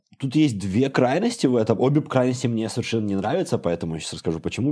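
Talking at a very fast pace, a man uses very wide pitch swings in a dark, mellow tone. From Belarus, Bobruisk. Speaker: programmer. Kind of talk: casual chat.

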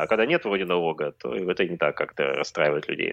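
Over a quiet background, a man with a very deep, low pitch talks at a fairly quick pace with lively intonation. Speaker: blogger and demography expert. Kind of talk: casual live-stream interview.

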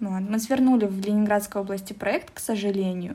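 A somewhat breathy woman's voice, fairly high in pitch. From Russia, Omsk. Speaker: translator and office specialist at a Korean firm. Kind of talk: casual interview.

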